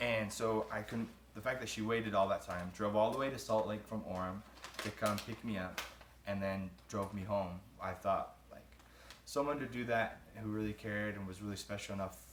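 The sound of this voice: A man talks at a moderate pace with fairly even intonation. Faint background noise sits underneath. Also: fairly low pitch for a man.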